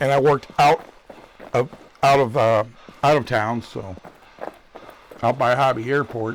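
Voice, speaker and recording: A medium-pitched man with a US Midwestern accent and ordinary pitch variation, with noticeable background noise. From Michigan, US Midwest. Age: 60s. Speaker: gaming streamer. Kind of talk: live gameplay commentary. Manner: casual, rambling chat.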